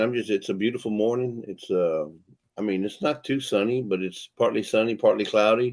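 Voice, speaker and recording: With a Texan accent, a man speaks at a moderate pace and fairly low pitch with ordinary pitch variation. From Texas. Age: 60s. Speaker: livestream co-host. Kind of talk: casual chat. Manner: relaxed, chatty.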